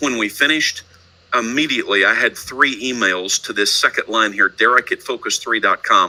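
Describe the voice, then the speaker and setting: Recorded with a dry, close sound and no echo, a man with a slight Texan accent talks at a moderate pace. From Texas, Houston. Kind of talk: presentation.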